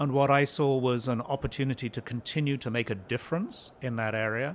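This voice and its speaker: A man uses an ordinary speaking voice at a medium pitch with ordinary pitch variation. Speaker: pharmaceutical company CEO. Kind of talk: podcast interview. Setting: in-person at a conference.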